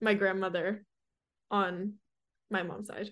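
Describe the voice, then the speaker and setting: Against a quiet background, a woman with an American accent talks in a monotone, flat intonation. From Southern California (Hermosa Beach). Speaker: college student, mental health advocate. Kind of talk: casual interview.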